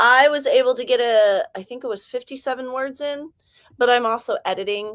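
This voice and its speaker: A woman with an American accent in an animated tone at a moderate pace, with a dry, close sound and no echo. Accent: California accent shifting toward Southern. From Southern California. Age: 40s. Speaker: livestreamer and author. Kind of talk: casual livestream chat.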